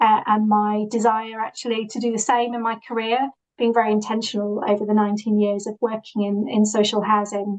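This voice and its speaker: Fairly high-pitched, a woman with a Yorkshire accent speaks at a moderate pace. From northern England, Yorkshire (Leeds). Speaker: social housing professional. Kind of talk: presentation. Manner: halting, many fillers.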